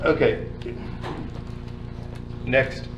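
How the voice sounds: A man speaks at a very slow pace. Clear background noise can be heard.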